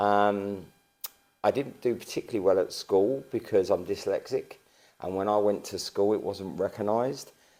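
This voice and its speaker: A man with an Estuary accent at a moderate pace. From east London, Barking and Dagenham. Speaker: local council leader. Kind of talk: interview. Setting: town hall.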